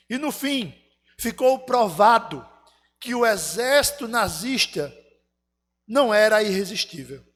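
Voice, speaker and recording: Music plays behind a man who speaks very slowly at a high pitch, with ordinary pitch variation. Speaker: pastor. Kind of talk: sermon. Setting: church.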